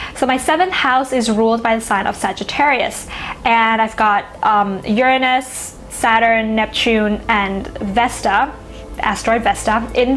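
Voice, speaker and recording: Against noticeable background noise, a woman with a Thai accent speaks at a fairly slow pace in a fairly high voice, with ordinary pitch variation and very even loudness. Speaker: astrology YouTuber. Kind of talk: casual educational monologue. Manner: conversational, with fillers.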